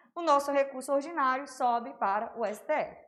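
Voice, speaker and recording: In a room with audible echo, a woman speaks with a high pitch and fairly even intonation. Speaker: law teacher. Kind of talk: online lecture. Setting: livestream. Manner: casual, conversational.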